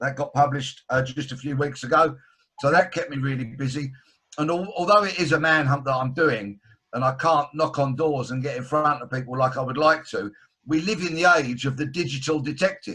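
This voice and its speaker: This man talks at a fairly quick pace in a London accent, his pitch fairly high with ordinary variation. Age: 60s. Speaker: author and broadcaster, former detective. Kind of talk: video call interview. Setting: video call.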